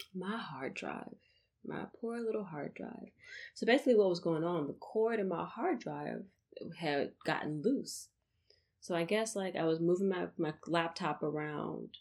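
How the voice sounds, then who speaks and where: Using lively intonation, a woman speaks at a fairly low pitch with vocal fry. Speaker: podcast host. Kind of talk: casual monologue. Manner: animated.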